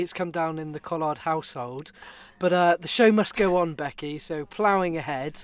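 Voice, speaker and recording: Here a man speaks with a British accent at a moderate pace. His pitch is high. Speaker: podcast co-host. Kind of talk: casual chat.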